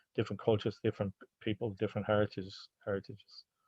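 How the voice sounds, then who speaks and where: A man speaks at a fairly low pitch with an Irish accent. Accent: Irish (Hiberno-English). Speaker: anti-racism sports organizer. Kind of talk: online seminar Q&A. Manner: halting, with repetitions.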